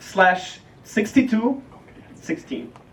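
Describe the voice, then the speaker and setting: A man with a Ukrainian accent speaks very slowly in a high pitch with lively intonation. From Ukraine. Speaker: startup founder. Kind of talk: product demo pitch.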